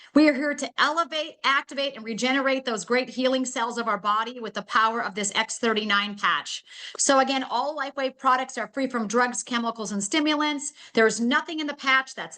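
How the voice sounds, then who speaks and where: Projecting a raised voice, a woman speaks at a fairly quick pace with hardly any pauses. Her pitch is high, her tone bright and sharp, and her pitch variation ordinary. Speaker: network marketing presenter, health coach. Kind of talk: sales pitch. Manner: fast; animated.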